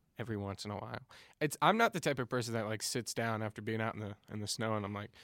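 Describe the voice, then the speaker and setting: Very fast and playful, a man with an American accent speaks at a fairly low pitch in a very clean, dry, close recording with a silent background and no echo. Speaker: podcast co-host. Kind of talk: casual chat. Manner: joking, playful.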